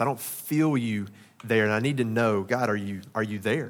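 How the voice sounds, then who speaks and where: A man speaks with a Southern US accent. His pace is moderate and his pitch variation is ordinary. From Arkansas. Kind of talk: sermon. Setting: church.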